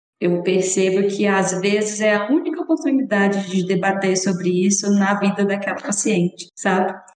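A normal speaking voice from a woman, medium in pitch with ordinary pitch variation, very even loudness, a moderate pace and hardly any pauses. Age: 30s. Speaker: podcast host and family doctor. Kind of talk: podcast interview.

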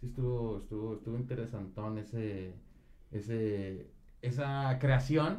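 A man's dark, mellow voice at a fairly slow pace, with audible echo from the room. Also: medium pitch for a man, ordinary pitch variation. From Monterrey, Mexico. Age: 20s. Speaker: rapper. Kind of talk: casual chat.

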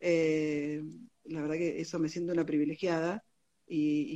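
A woman's very deep, low pitch, dark and mellow in tone, with monotone, flat intonation. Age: 40s. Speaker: physician and medical teacher. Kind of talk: interview. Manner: halting.

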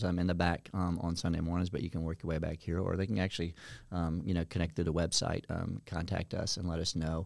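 A man's very deep, low voice at a very fast pace, with fairly even intonation and an American accent. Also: very clean recording, silent background. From Virginia, Norfolk area. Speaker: children's pastor. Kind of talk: casual interview. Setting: studio.

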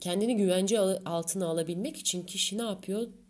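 This woman's tone is dark and mellow. Her pitch sits in the middle range. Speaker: astrologer podcaster. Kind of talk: solo podcast monologue. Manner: dramatic, theatrical delivery.

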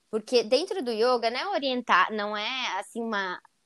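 A woman's fairly high voice, dry and close with no echo, on a very clean recording with a silent background. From Santa Catarina, Brazil (Joinville). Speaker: yoga teacher. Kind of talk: casual interview.

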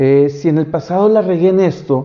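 A man with a fairly high voice is speaking. He takes a fairly slow pace. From Monterrey, northern Mexico. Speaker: YouTuber. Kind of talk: solo video podcast monologue. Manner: halting, many fillers.

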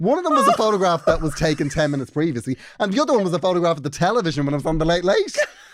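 Talking at a very fast pace with hardly any pauses, a man uses a high pitch and lively intonation over noticeable background noise. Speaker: podcast co-host. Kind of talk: casual chat.

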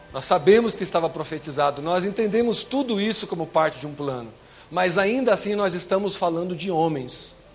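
A man speaks at a fairly quick pace in an animated tone, his voice pitched high with lively intonation over noticeable background noise. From Brazil, São Paulo. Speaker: lay preacher. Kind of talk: sermon.

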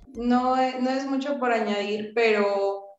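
Her voice is fairly high-pitched, with a monotone, flat intonation. The woman speaks at a very slow pace amid audible room echo. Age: 20s. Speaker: lawyer and activist. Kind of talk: casual chat.

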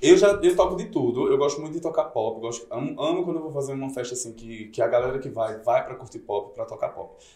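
The speech is very fast, with hardly any pauses and big swings in loudness. Noticeable background noise is present. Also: man. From Campina Grande, Paraíba, Brazil. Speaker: DJ. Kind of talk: casual chat. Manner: animated.

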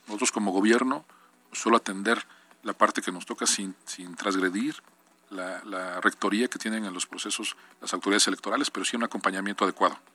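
A man's fairly low voice at a fairly quick pace, fairly even in intonation, with big swings in loudness, a dry, close sound with no echo, and noticeable background noise. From Mexico, Puebla. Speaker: state government official. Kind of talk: radio interview. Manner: halting, repeats words.

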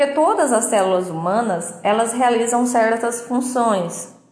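A woman speaks at a fairly slow pace with a fairly high pitch. Room echo is audible. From Minas Gerais, Brazil. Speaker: biomedical scientist, educational podcaster. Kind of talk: educational monologue. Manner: casual, with filler words.

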